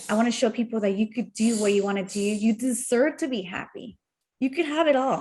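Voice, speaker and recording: In a Spanish accent, a woman speaks somewhat breathily at a fairly high pitch. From Mexico. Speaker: entrepreneur. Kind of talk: casual chat.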